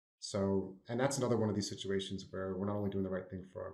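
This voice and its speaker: Somewhat breathy, a man with an American accent speaks at a fairly low pitch. His pace is very fast and his intonation fairly even. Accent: New Jersey, slight and coming out more. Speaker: consultant. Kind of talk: podcast panel discussion.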